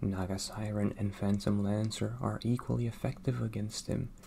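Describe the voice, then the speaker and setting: Soft-spoken and somewhat breathy, a man talks at a fairly low pitch and moderate pace. His tone is dark, mellow and calm. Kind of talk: ASMR whisper-style narration with game commentary. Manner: soft-spoken, calm.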